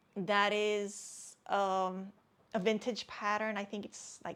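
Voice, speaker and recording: In a very clean recording with a silent background, a woman speaks with a non-native accent. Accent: non-native English, struggles with some words. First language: not English. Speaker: crafting YouTuber, knitter and crocheter. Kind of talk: casual show-and-tell vlog. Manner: hesitant, repeats words.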